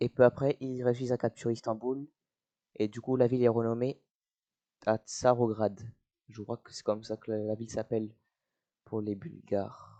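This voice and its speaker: A man speaks at a moderate pace and medium pitch, monotone and flat, with a dark, mellow tone and long, frequent pauses. His loudness swings widely, and the sound is dry and close with no echo. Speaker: YouTuber narrating strategy game. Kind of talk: casual gameplay commentary. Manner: hesitant, many fillers.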